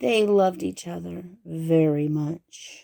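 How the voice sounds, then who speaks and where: At a fairly slow tempo, a put-on character voice holds a middle pitch. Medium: read story.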